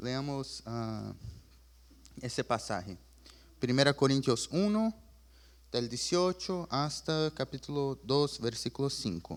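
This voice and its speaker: Speaking at a very slow pace with long, frequent pauses, a man with medium pitch and lively intonation comes through a very clean recording with a silent background. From Chile. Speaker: preacher. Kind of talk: sermon.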